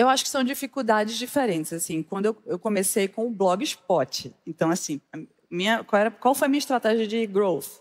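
Over a quiet background, a woman with a fairly high voice speaks at a moderate pace with lively intonation. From Brazil, Northeast. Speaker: fashion blogger and entrepreneur; fashion blogger. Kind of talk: stage interview. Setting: stage with audience. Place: stage. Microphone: lapel.

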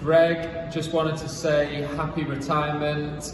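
Noticeable background noise along with audible room echo. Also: man. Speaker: professional squash player. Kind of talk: spoken tribute message. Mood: warm, appreciative. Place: hall.

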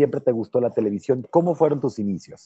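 The man's intonation is lively, the sound dry with no echo and the background quiet. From Mexico, Tampico, Tamaulipas. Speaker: youtube interviewer. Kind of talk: interview. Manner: halting, repeats words. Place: hall. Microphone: earbuds.

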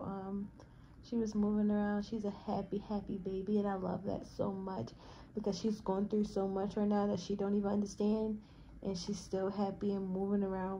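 Over light background noise, a woman speaks at a moderate pace in a dark, mellow tone. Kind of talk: casual vlog chat. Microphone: phone near.

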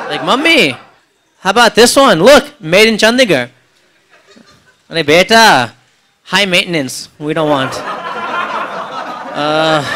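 A man's voice at a fairly slow pace, with very wide pitch swings and noticeable background noise. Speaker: stand-up comedian. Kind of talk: stand-up comedy routine. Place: cafe. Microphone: handheld.

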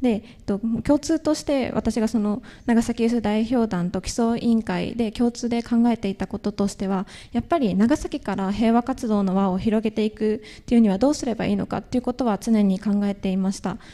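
A woman talks at a fairly quick pace in a fairly high voice with a dark, mellow tone and ordinary pitch variation. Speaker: university student, youth delegate; presenter. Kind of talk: panel presentation. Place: hall.

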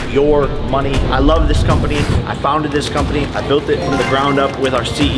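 A man talks at a moderate pace over loud music in the background. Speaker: vlogger. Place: hall. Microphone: camera far.

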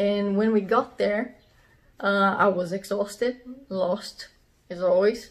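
Fairly high-pitched, a woman speaks with a Portuguese accent. Her pace is very slow and her intonation fairly even. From southern Brazil. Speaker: metal drummer. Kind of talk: storytelling to camera. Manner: casual, informal. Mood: amused, relaxed. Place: home room. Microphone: phone near.

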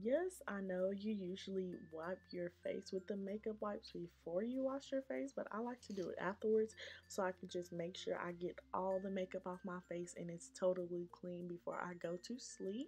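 A woman's somewhat breathy voice with a dark, mellow tone, ordinary pitch variation, moderate pace and hardly any pauses. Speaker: beauty vlogger. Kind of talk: casual vlog chat, tutorial. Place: home room. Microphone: phone near.

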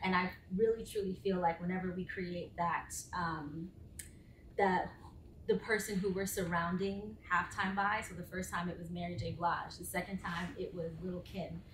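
Light background noise and audible room echo sit behind this recording. A woman speaks at a moderate pace in a monotone, flat intonation. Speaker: sports entertainment director and former professional dancer; panelist. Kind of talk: panel discussion. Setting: live panel with audience in the room. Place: meeting room. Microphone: camera far.

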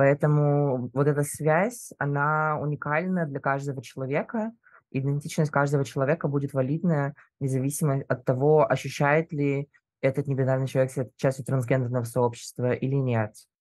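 A plain, everyday voice keeps a moderate pace and fairly even intonation. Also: man, fairly high pitch for a man. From Russia. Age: 20s. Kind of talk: casual chat.

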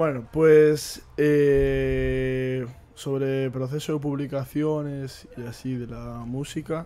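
Very slowly, a man speaks in a dark, mellow tone with monotone, flat intonation and big swings in loudness. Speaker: podcast host. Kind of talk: casual chat. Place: home room. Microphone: studio mic.

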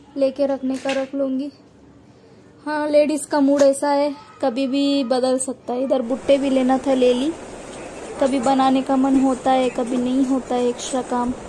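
With noticeable background noise behind her, a woman speaks at a fairly slow pace in a high, monotone voice with flat intonation. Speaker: homemaker vlogger. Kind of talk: casual vlog chat. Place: market. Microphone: phone near.

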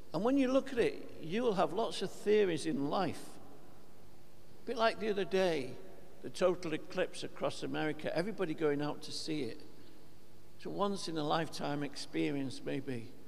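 Light background noise sits behind a man who speaks at a moderate pace with very wide pitch swings and long, frequent pauses. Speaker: priest. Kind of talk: sermon. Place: church.

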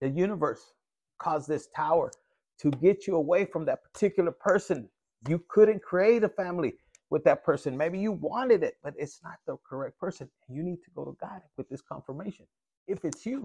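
With big swings in loudness, a man speaks at a fairly quick pace in a high voice with a dark, mellow tone, ordinary pitch variation and a dry sound with no echo. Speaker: tarot reader. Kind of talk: casual tarot reading commentary. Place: home room. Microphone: phone near.

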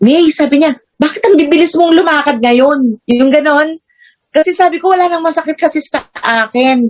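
A high-pitched woman talks at a moderate pace with ordinary pitch variation and very even loudness. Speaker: health product user and seller. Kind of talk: testimony. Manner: halting, full of fillers.

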